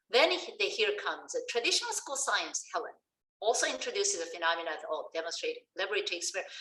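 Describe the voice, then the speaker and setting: In a Korean accent, a woman talks at a very fast pace with a high pitch. Her voice is raised and projected. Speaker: science education professor. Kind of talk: lecture. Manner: halting.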